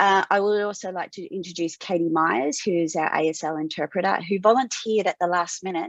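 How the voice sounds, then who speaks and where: Speaking with an Australian accent, a woman at medium pitch moves at a fairly quick pace with ordinary pitch variation, in a dry, close sound with no echo. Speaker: webinar host, tech company CEO. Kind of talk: webinar moderation.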